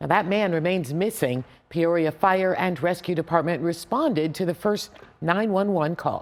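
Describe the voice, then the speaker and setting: A woman with a plain, everyday voice speaks at a moderate pace, keeping her loudness very even and her pitch variation ordinary. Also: fairly low pitch for a woman. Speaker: TV news anchor. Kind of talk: local TV newscast anchor read.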